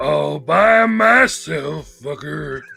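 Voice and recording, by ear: Growling, gruff put-on character voice from a man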